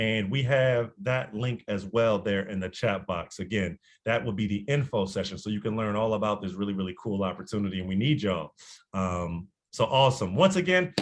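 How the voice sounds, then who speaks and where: A man with a fairly low voice talks at a fairly quick pace. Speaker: nonprofit youth program staff. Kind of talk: presentation on video call. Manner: fast.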